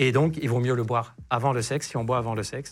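A man talks at a very fast pace with fairly even intonation. Music plays behind him. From Lebanon. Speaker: sexologist doctor. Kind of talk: casual interview chat.

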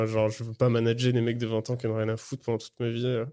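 A very fast, monotone, flat delivery in a dark, mellow tone with a slight British accent. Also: man. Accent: French with a slight British tinge. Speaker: stand-up comedian. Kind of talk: casual chat. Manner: halting.

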